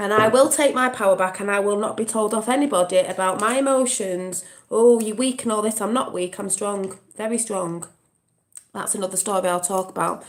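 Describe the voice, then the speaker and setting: Speaking at a fairly quick pace, a woman with an English accent holds a medium pitch. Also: ordinary pitch variation. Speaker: vlogger. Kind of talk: casual chat. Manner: emotional, impassioned.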